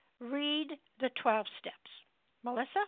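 A fairly slow, high-pitched female voice with ordinary pitch variation. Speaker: support group meeting leader. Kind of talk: group meeting facilitation. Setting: phone call.

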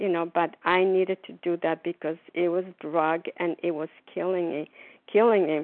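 A plain, everyday voice from a woman, fairly low in pitch, at a moderate pace. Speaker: recovering overeater sharing at meeting. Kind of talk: recovery meeting share. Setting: phone call.

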